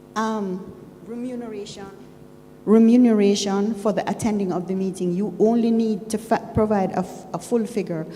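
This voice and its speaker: The intonation is fairly even, and noticeable background noise runs beneath it. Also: woman. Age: 60s. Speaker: shareholder at annual meeting. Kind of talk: public comment at meeting. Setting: annual general meeting in a room. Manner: formal.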